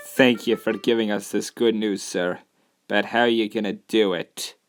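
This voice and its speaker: Over faint music in the background, a man at medium pitch speaks in a put-on character voice. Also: moderate pace. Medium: audio drama.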